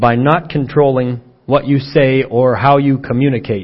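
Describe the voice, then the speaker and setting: Somewhat breathy, a man speaks with a fairly high-pitched voice. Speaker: preacher. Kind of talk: sermon. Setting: church.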